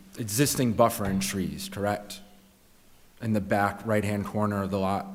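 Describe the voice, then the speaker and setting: Fairly low male speech at a fairly slow pace, fairly even in intonation, with long, frequent pauses and audible room echo. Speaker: lawyer. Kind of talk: witness questioning. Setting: public board meeting.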